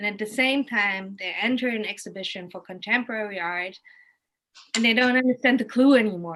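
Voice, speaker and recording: With a German accent, a woman speaks at a fairly quick pace in a fairly high pitch, showing ordinary pitch variation and big swings in loudness. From Germany, Kassel. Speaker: art educator. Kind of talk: casual chat. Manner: halting.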